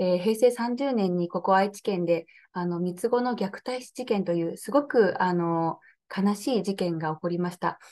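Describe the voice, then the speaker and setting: The woman's pitch shifts in an ordinary way. She keeps a moderate pace. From Nagoya, Aichi, Japan; Aichi, Japan. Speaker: political candidate; interviewee, candidate. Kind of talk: interview. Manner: hesitant, many fillers. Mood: earnest, calm. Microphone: video call.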